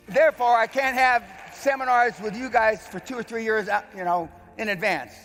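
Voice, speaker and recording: There is music in the background as a man talks at a fairly quick pace. His pitch varies in an ordinary way. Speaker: veteran and businessman, seminar host, speaker. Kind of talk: motivational stage speech to an event audience.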